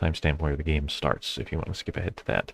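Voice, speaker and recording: A man's mumbling, somewhat breathy voice, very deep and low in pitch, with monotone, flat intonation. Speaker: board game streamer. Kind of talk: live gameplay commentary. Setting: live stream.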